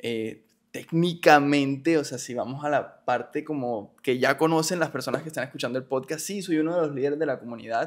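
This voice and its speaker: A man with a fairly high pitch and ordinary pitch variation talks at a fairly quick pace with hardly any pauses, against a quiet background. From Colombia, Barranquilla; Colombia. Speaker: industrial engineer and church group leader; podcast guest. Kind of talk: personal testimony in interview. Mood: reflective, earnest. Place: studio. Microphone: studio mic.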